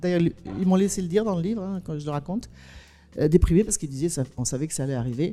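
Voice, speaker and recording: A woman with a fairly low pitch, a dark, mellow tone and lively intonation, at a very fast pace. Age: 60s. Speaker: documentary filmmaker and author. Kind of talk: panel discussion. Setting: stage with audience. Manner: animated.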